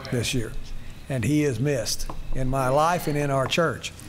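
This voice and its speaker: Music plays in the background as a man talks at a moderate pace with ordinary pitch variation. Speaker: church pastor or leader. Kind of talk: church announcement. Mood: warm, lightly humorous. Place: church.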